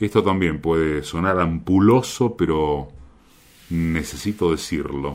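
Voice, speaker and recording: With a Rioplatense accent, a man speaks very slowly in a very deep, low pitch and ordinary pitch variation. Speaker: radio host. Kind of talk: radio monologue and interview.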